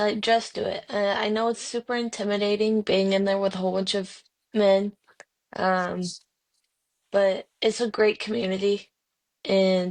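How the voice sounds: A woman speaks at a fairly slow pace in a medium pitch, with little pitch movement.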